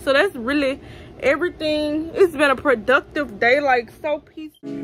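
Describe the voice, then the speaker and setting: Over faint music in the background, a woman with a Louisiana accent speaks at a high pitch, with ordinary pitch variation and big swings in loudness. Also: moderate pace. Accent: Southern US, Louisiana. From Baton Rouge, Louisiana. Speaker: vlogger. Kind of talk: casual vlog talk to camera. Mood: relaxed, content. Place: home room. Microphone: phone near.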